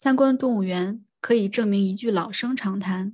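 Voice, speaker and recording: A woman speaks at a fairly slow pace in a medium-pitched, somewhat breathy voice with ordinary pitch variation. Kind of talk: reading aloud an essay from a book, literary audiobook style. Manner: measured, even and steady reading pace.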